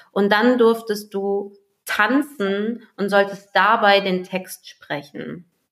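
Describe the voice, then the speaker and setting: Delivered at a very slow speed, the speech keeps a fairly even intonation. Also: woman, medium pitch for a woman. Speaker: coach, podcast co-host. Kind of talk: guided meditation; casual chat. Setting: home recording, separate rooms.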